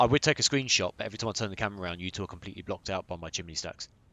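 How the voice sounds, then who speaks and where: A man with a British accent speaks very fast in a very deep, low voice, his pitch rising and falling in an ordinary way. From Britain. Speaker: gamer. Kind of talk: casual chat.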